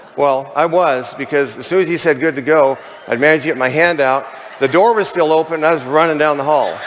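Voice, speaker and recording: The speech is very fast, with fairly even intonation and very even loudness. Noticeable background noise sits behind it. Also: man, fairly high pitch for a man. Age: 60s. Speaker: convention speaker, chimney sweep turned network marketer. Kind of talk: testimony. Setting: stage with audience. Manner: conversational, with fillers.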